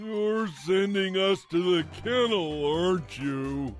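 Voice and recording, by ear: A man's cartoonish character voice, high-pitched and very slow, over clear music in the background.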